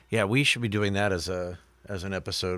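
A man with an unremarkable speaking voice talks at a moderate pace, his fairly low pitch held in fairly even intonation, on a very clean recording with a silent background. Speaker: podcast co-host. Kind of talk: casual banter. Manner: joking, playful.

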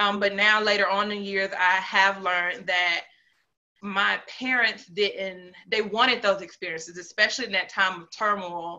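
Using an ordinary speaking voice, a woman talks at a moderate pace and medium pitch with fairly even intonation. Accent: American. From North Carolina, Piedmont area. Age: young. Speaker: entrepreneur and motivational storyteller. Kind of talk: personal life story in interview.

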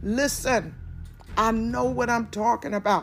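A woman speaks with a fairly high pitch and an animated tone. Vocal fry creeps into her voice. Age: 40s. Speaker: prophetess / podcast preacher. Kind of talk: sermon-style religious podcast. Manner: animated, repetitive preaching cadence.

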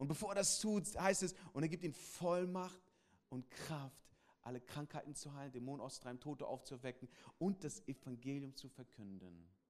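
Animated in tone, a man with a fairly high pitch talks at a moderate pace with big swings in loudness. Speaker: pastor. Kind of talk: sermon. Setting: church with congregation. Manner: animated, direct address to the congregation; repeats key phrases for emphasis.

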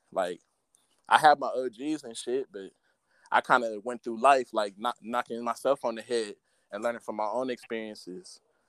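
A man with an American accent talks at a fairly quick pace in an unremarkable speaking voice at a medium pitch. The sound is dry and close, with no echo. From South Central Los Angeles. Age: 20s. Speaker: rapper. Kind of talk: casual chat. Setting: video call.

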